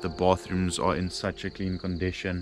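A man with a very deep, low voice speaks at a moderate pace in a dry sound with no echo, with clear music in the background. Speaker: travel vlogger. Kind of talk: casual vlog chat. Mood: relaxed, content. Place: open country. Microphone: phone near.

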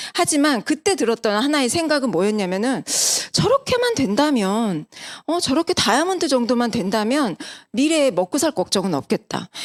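A woman speaks at a high pitch. Her voice moves in very wide pitch swings. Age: 40s. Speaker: network marketing business presenter. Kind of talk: sales pitch.

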